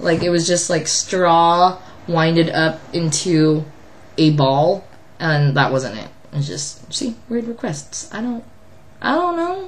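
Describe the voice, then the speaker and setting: Fairly low and somewhat breathy, a woman's voice moves at a very slow pace. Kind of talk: casual vlog talk to camera.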